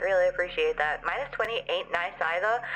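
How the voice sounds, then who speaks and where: Over music in the background, a woman speaks at a moderate pace in an animated tone. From Australia. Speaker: VTuber streamer. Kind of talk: casual livestream chat.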